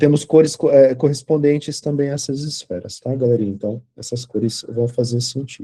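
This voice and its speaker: A man's somewhat breathy, dark, mellow voice at a medium pitch, moderately paced with hardly any pauses and fairly even intonation. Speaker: tarot teacher. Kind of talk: lecture. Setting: online class video call.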